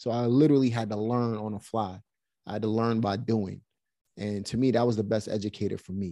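With a Brooklyn accent, a man speaks at a fairly quick pace in a dark, mellow tone, his pitch fairly low and his intonation fairly even. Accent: New York (Brooklyn). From Brooklyn, New York. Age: 40s. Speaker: real estate investor. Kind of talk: interview conversation. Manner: casual, frequent fillers.

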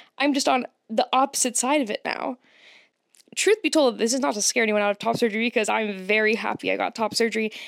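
Recorded very cleanly against a silent background, with a dry, close sound with no echo, a woman speaks in an animated tone at fairly high pitch with ordinary pitch variation. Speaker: podcast host. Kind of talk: casual solo podcast monologue. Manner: animated, chatty, laughs often.

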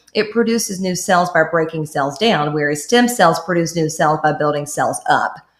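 A woman with an unremarkable speaking voice talks at a fairly quick pace with lively intonation. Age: 30s. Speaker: esthetician and skincare entrepreneur. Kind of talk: casual chat.

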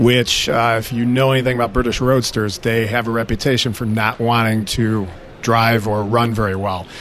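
A man with an American accent at a medium pitch, monotone and flat, with noticeable background noise. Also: moderate pace. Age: 50s. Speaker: auto repair shop owner. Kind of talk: interview.

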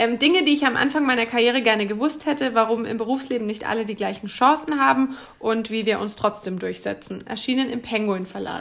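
Over noticeable background noise, a woman with a fairly high pitch talks at a fairly quick pace, with ordinary pitch variation and hardly any pauses. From Bavaria, Bamberg (Upper Franconia). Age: 30s. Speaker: media manager and author. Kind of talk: podcast interview.

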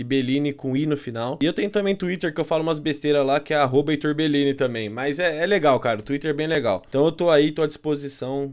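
With a fairly high pitch and ordinary pitch variation, a man talks at a very fast pace. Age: 30s. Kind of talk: casual chat about theology.

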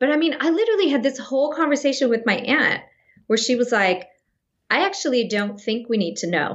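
A woman with an American accent and high pitch speaks at a fairly quick pace. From Northern California (Sacramento). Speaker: actress. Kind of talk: casual interview chat.

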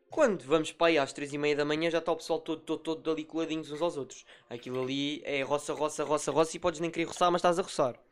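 In a Lisbon accent, a man races along at a very fast pace with hardly any pauses, his fairly high voice monotone and flat on a very clean recording with a silent background. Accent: European Portuguese, Lisbon. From Portugal, Lisbon. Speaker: podcast host and moderator. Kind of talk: casual chat.

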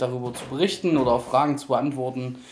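A man uses an ordinary speaking voice, pitched medium and moving at a fairly quick pace. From Thuringia, Germany. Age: 30s. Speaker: podcast guest. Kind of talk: personal testimony.

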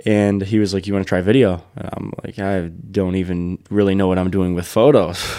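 Speaking at a fairly quick pace with hardly any pauses, a man has a very deep, low voice and fairly even intonation. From Michigan, Detroit downriver area. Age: 20s. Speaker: wedding photographer and videographer, business owner. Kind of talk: casual interview chat.

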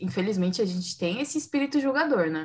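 A woman's ordinary speaking voice at medium pitch, with lively intonation. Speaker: podcast host. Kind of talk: casual chat.

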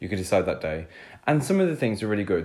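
A man with a British accent and a fairly low pitch. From United Kingdom. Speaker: podcast co-host. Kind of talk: casual chat; cooking tutorial.

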